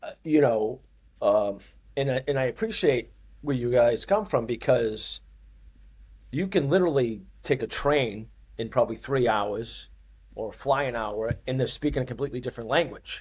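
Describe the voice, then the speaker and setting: A somewhat breathy man speaks with a Boston accent at a moderate pace. He leaves long, frequent pauses. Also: medium pitch for a man, ordinary pitch variation. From US Northeast, Boston. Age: 50s. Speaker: fitness coach. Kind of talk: interview. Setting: studio.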